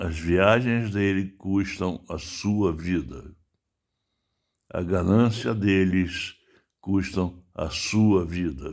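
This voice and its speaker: Very slowly, a man speaks at a very deep, low pitch, leaving long, frequent pauses. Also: ordinary pitch variation, very clean recording, silent background. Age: 70s. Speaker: writer and political commentator. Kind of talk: political monologue. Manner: animated.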